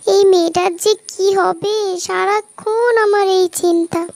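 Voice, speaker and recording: A cartoonish character voice from a woman, extremely high-pitched and flat in a monotone, sounds dry and close with no echo. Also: moderate pace. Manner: fretful, repetitive.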